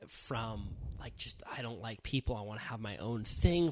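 Here is a man with an American accent and a plain, everyday voice. He keeps a moderate pace, and his intonation is lively. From California. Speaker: podcast host.

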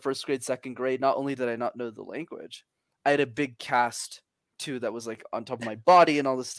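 In a very clean recording with a silent background and a dry, close sound with no echo, a man speaks at a very fast pace and medium pitch, with big swings in loudness. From Montreal, Canada. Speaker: communication coach and founder. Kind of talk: casual interview chat. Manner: animated, confident, motivational.

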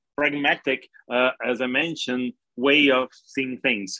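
A man talks in a Portuguese accent. His pitch is medium and his pace moderate. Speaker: crypto exchange executive. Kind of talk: interview. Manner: halting, many fillers and repeats.

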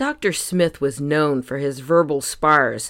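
At a fairly slow pace, a woman talks in a very deep, low pitch with lively intonation on a very clean recording with a silent background. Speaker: podcast host. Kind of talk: scripted devotional reading with scripture. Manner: calm, soothing.

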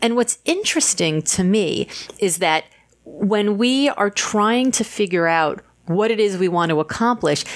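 A woman's plain, everyday voice at medium pitch, with lively intonation and a fairly slow pace. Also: very even loudness. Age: 50s. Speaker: author. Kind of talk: interview conversation.

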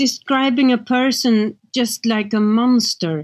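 Speaking very slowly with a Swedish accent, a woman uses a high voice and ordinary pitch variation, recorded dry and close with no echo on a very clean track over a silent background. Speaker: crime novelist. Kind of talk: interview.

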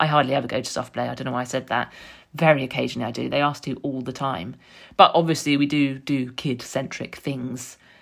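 In a London accent, a woman talks at a very fast pace with a very deep, low pitch, vocal fry, and fairly even intonation. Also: very clean recording, silent background. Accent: southern English (London). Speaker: podcast host, author and journalist. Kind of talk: personal monologue. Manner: reflective.

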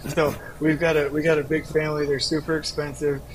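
A man talks in a fairly high register while noticeable background noise carries on. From Southern California. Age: 40s. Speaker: construction company founder and author. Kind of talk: podcast interview. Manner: animated.

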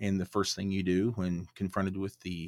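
A man with an American accent speaks in a very deep, low voice. The sound is dry and close with no echo, on a very clean recording with a silent background. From Oklahoma. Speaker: podcaster, former city manager. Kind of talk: casual interview chat. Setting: studio.

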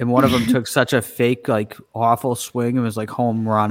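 A man speaks with a Boston accent. His pitch is medium and his pace is moderate. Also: dry, close sound with no echo. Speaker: podcast co-host.

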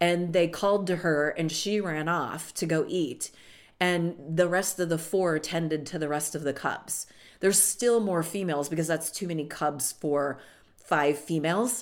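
A woman's fairly low, animated voice at a moderate pace, with ordinary pitch variation, in a very clean recording with a silent background. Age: 60s. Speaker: money and prosperity coach, podcast host. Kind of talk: solo podcast monologue.

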